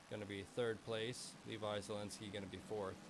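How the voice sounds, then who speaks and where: At a moderate pace, a man speaks in a bored tone. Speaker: sim racing commentator. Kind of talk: live commentary. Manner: monotone; sounds bored.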